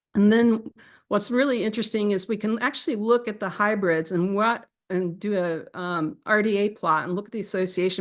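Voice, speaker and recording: The speech moves at a fairly quick pace with ordinary pitch variation over a quiet background. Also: woman. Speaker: evolutionary biology researcher. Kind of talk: academic seminar talk; answering audience questions. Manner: fast.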